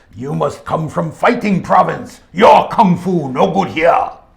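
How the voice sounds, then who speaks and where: A man puts on a character voice pitched high. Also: fairly slow pace. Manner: mocking, stereotyped kung fu talk.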